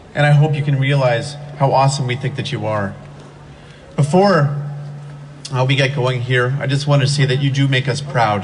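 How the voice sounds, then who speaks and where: Long, frequent pauses and fairly even intonation, with noticeable background noise and audible room echo. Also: man, fairly high pitch for a man. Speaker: teacher speaking at rally. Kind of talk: rally speech. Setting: outdoor rally with crowd. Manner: fast.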